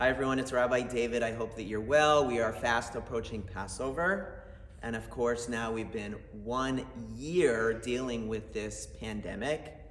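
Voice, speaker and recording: At a moderate pace, a man talks with ordinary pitch variation amid audible room echo. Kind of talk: holiday message to congregation. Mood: warm, hopeful.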